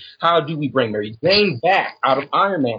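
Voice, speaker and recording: Fairly high in pitch, a man talks in a normal speaking voice at a moderate pace with lively intonation. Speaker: caller. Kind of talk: casual chat. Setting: call-in.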